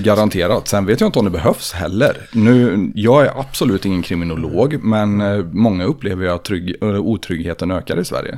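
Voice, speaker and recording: In a normal speaking voice, a man with a fairly low pitch talks at a moderate pace with ordinary pitch variation. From Sweden, Tidaholm area. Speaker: podcast host and personal trainer. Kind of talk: scripted intro monologue; casual chat.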